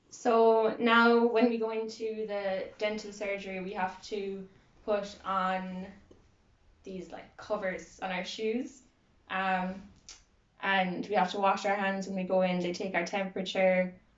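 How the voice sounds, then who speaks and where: Audible room echo follows a woman with a Kerry accent who speaks at a medium pitch and a fairly slow pace, her intonation monotone and flat. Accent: Kerry Irish. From Ireland, County Kerry. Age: 20s. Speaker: student interviewee. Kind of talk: interview.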